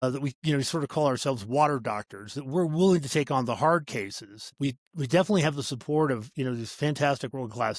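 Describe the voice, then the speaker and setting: At a very fast pace with hardly any pauses, a man speaks in a fairly high pitch with ordinary pitch variation, the sound dry and close with no echo on a very clean recording with a silent background. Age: 60s. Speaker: startup CEO. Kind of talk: podcast interview. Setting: call.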